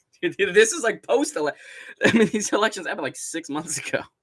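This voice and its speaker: A man with an American accent talks at a very fast pace. His high pitch swings very widely. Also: big swings in loudness. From Southern California. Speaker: MMA YouTuber and live streamer. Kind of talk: casual live-stream commentary. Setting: live stream. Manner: animated.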